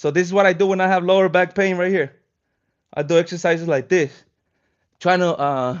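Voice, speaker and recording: Speaking at a fairly quick pace with a Spanish accent, a man uses a high voice and fairly even intonation, broken by long, frequent pauses. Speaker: fitness streamer. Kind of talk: live stream casual chat. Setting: live stream while stretching. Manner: casual, relaxed.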